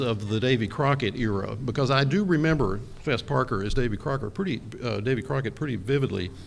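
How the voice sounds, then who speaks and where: A man with an American accent speaks at a medium pitch, and some room echo can be heard. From Texas. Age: 60s. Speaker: architectural historian. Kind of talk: conference talk. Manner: hesitant, many fillers.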